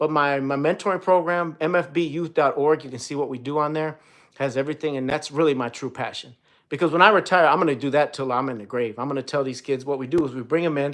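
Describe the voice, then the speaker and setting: Against a quiet background, a man with an American accent speaks in an animated tone at a very fast pace, his pitch fairly high with ordinary variation. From Illinois. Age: 40s. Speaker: police detective and streamer. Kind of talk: live stream chat with viewers. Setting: live stream. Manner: casual, animated.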